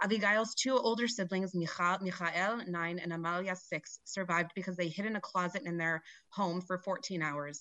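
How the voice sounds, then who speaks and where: A woman speaks at a medium pitch and a moderate pace, with hardly any pauses. Her tone is bright and sharp, with ordinary pitch variation, and the background is quiet. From Colorado. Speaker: nonprofit director, public commenter. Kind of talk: public comment speech.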